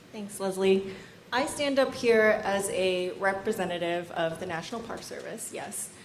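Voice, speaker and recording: A woman at a medium pitch speaks at a moderate pace with ordinary pitch variation, amid audible room echo and noticeable background noise. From Vietnam, raised in US. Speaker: national park volunteer coordinator. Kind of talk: conference lightning talk.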